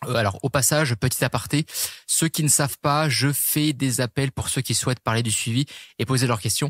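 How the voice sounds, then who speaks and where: A man at medium pitch, somewhat breathy, with fairly even intonation and very even loudness, dry and close with no echo on a very clean recording with a silent background. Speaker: fitness and nutrition coach, podcast host. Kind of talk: podcast monologue. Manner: fast; hesitant, many fillers.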